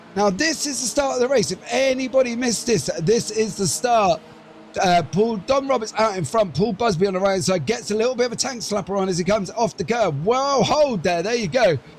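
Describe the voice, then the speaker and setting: With noticeable background noise behind him, a man talks fairly quickly in a high voice with lively intonation. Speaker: sim racing commentator. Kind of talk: live commentary. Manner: fast; animated.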